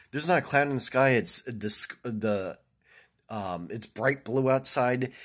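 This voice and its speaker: A man's moderate pace comes through clearly in a quiet background. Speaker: vlogger. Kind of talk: casual vlog chat. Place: home room. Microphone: phone near.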